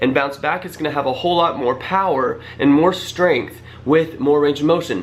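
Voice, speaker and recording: Over noticeable background noise, a man speaks with a fairly high pitch and ordinary pitch variation. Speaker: fitness youtuber. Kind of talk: casual tutorial to camera. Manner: fast.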